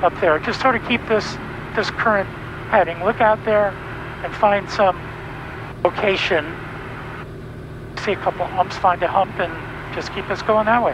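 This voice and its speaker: A man with a high voice speaks at a moderate pace with long, frequent pauses, the sound dry with no echo and noticeable background noise behind him. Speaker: flight instructor pilot. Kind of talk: instructional commentary and radio calls. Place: plane. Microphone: headset.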